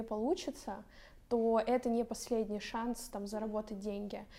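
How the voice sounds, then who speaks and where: The voice has a dark, mellow tone and monotone, flat intonation. It moves at a moderate pace. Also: woman. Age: 20s. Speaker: pastry school owner and blogger. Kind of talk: talk show conversation.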